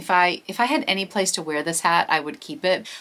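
Speaking at a fairly quick speed, a woman delivers her words. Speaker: thrift reseller vlogger. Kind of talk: casual vlog chat. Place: home room.

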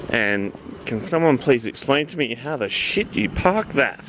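There is noticeable background noise as a man talks, yet the sound is dry with no echo. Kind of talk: casual vlog chat. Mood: amused, joking. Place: street. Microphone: phone near.

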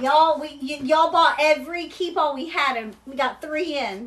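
Lively intonation marks a woman's high-pitched voice in a Kentucky accent. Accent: Southern US (Kentucky). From Kentucky, US South. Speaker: online seller of luxury bags. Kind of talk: live shopping stream. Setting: livestream. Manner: casual, chatty. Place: shop. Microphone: phone near.

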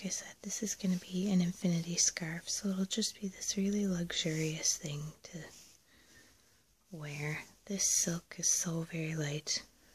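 Soft-spoken delivery at a fairly slow pace. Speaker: textile crafter. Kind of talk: soft spoken POV ramble. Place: home room. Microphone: phone near.

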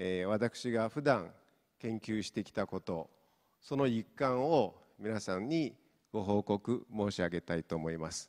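A man with a Mongolian accent and a fairly low pitch. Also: fairly slow pace, quiet background. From Inner Mongolia, China. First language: Mongolian (speaking Japanese). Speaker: professor; university professor. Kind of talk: lecture. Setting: stage with audience. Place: hall. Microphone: handheld.

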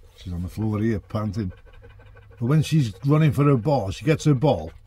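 This man speaks with ordinary pitch variation. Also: dry sound with no echo. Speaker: van dweller vlogger. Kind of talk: casual vlog chat. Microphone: phone near.

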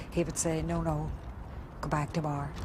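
A woman with a Northern Irish accent over noticeable background noise. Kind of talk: interview recollection.

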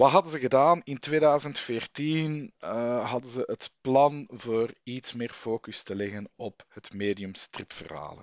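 A man's medium-pitched voice at a very slow pace with hardly any pauses, a dry sound with no echo, and a quiet background. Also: ordinary pitch variation. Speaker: vlogger and comic fan. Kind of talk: angry rant. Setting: home recording, late, headset mic. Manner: indignant, worked up, sarcastic. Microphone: headset.

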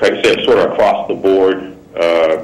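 The man's pace is very slow. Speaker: phone-in caller. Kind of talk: call-in question. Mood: curious, slightly probing. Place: studio. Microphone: phone line.

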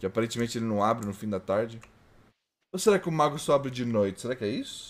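This man talks at a very fast pace in a medium pitch. His tone is animated. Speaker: VTuber streamer. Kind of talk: live gaming stream chat. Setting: home studio live stream.

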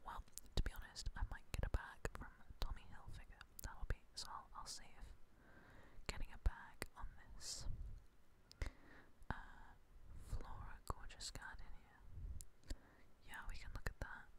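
Whispering at a fairly slow pace, the speaker keeps a relaxed tone and leaves long, frequent pauses. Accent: British. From England. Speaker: ASMR creator. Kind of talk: ASMR whisper video. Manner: whispered, very quiet; soft-spoken, relaxed. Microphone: studio mic.

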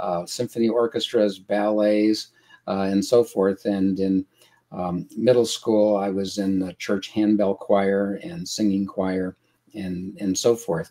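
A man's dark, mellow voice, fairly low in pitch, at a very slow pace over a quiet background. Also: fairly even intonation. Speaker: guest. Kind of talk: interview answer. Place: home room.

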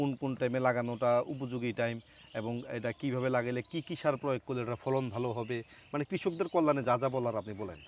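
Pitched in the medium range, a man talks in a normal speaking voice. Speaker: farming video host. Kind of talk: casual interview; presenter intro to camera.

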